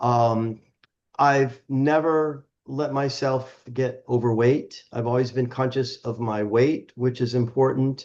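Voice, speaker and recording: A man talks at a medium pitch and a very slow pace, his intonation monotone and flat. The background is quiet. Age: 70s. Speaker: health and wellness advocate. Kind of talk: podcast interview. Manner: halting.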